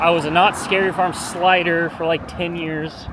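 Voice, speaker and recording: A man talks with an American accent at a fairly high pitch for a man. Noticeable background noise runs behind him. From Southern California (Long Beach). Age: 30s. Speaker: vlogger. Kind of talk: casual vlog talk. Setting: outdoors, walking. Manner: casual, laid-back.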